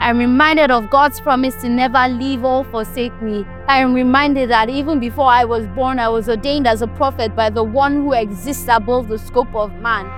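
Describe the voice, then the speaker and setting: A woman's high voice, fairly quick and fairly even in intonation, with music in the background. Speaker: spoken word poet. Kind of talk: spoken word poetry performance.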